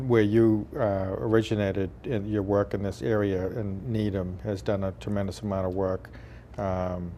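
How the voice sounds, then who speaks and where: A man speaks at a moderate pace in an ordinary speaking voice. His pitch is fairly low, with ordinary pitch variation. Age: 40s. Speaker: state legislator and cable TV host. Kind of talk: interview.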